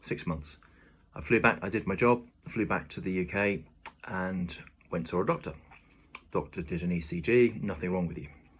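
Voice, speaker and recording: With a British accent, a man speaks at a moderate pace in a very deep, low pitch, with ordinary pitch variation and long, frequent pauses. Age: 50s. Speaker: video diarist, former lifeguard and athlete. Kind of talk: personal video diary. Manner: halting, many filler ums.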